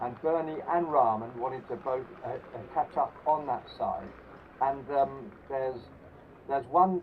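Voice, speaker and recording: Over noticeable background noise, a man with fairly high pitch and ordinary pitch variation talks at a fairly slow pace with long, frequent pauses. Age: 70s. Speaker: former club cricketer. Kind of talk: interview. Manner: halting.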